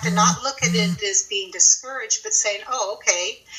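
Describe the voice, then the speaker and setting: A woman's fairly high voice, with ordinary pitch variation, holds a moderate pace against noticeable background noise. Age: 60s. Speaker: guest sharing carnivore diet experience. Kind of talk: testimony.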